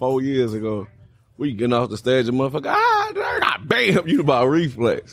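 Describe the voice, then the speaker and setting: A man with an American accent speaks fairly quickly against noticeable background noise. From Illinois, Kankakee. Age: 30s. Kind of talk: casual chat.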